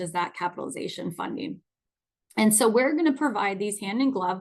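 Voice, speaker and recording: A plain, everyday voice from a woman, fairly high-pitched, with lively intonation, against a quiet background. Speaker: nonprofit finance executive presenting a webinar. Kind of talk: webinar presentation.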